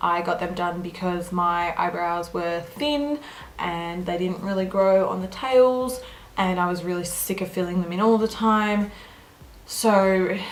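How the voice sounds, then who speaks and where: In an Australian accent, a woman talks at a fairly slow pace and medium pitch with ordinary pitch variation and audible room echo. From Australia, Melbourne. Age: 20s. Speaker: beauty vlogger. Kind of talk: casual Q&A chat.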